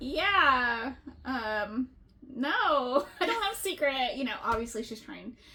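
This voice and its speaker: A woman speaks very slowly in a raised, projected voice at a high pitch, with big swings in loudness. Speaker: book podcast co-host. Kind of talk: casual chat. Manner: animated, loud at times.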